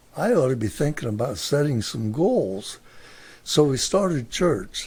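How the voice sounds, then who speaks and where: This man's voice is somewhat breathy, with an American accent and very wide pitch swings. He leaves long, frequent pauses. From US Midwest, Mansfield, Ohio. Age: 80s+. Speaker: grandfather sharing life stories. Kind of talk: interview.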